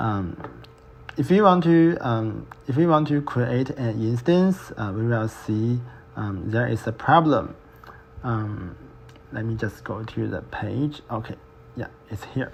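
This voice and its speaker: Speaking at a very slow pace, this man leaves long, frequent pauses. His medium-pitched voice carries lively intonation. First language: not English. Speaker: student. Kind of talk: screen-recorded software tutorial. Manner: slow, hesitant.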